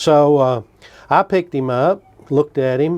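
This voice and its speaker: Speaking with a Kentucky accent, a man uses a medium pitch and ordinary pitch variation. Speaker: traditional gun builder. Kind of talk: storytelling.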